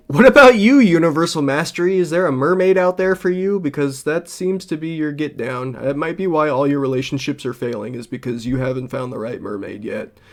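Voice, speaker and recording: A man speaks with a plain, everyday voice and an American accent, his pitch fairly high. He talks at a fairly quick pace with hardly any pauses and lively intonation. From Los Angeles. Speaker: streamer. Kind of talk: reaction stream commentary. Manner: casual.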